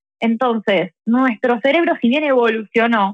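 A woman speaks with an Argentine accent. Her pace is moderate. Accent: Argentine Spanish (Rioplatense). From Argentina. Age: 30s. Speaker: tarot reader. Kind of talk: casual interview.

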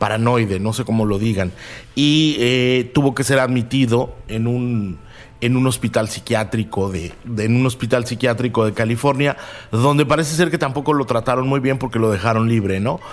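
Medium in pitch, the man uses a normal speaking voice, keeping a moderate pace and ordinary pitch variation. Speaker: co-host on serial killers. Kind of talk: casual expert conversation. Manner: conversational, fillers, repetition.

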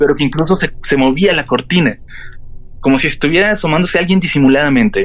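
Very fast and very even in loudness, a man's fairly high voice shows ordinary pitch variation. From Mexico, Tijuana. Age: 30s. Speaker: horror podcast host. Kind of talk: storytelling in interview. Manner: halting, repeats words.

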